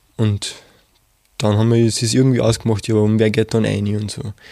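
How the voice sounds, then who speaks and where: A man's medium-pitched voice, dark and mellow in tone, at a moderate pace on a very clean recording with a silent background. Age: 20s. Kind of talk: interview testimony. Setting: studio.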